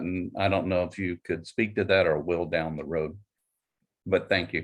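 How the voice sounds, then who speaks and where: This man's pitch is very deep and low, his delivery moderate in pace, his pitch variation ordinary. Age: 60s. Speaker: psychologist. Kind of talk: audience question. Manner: halting.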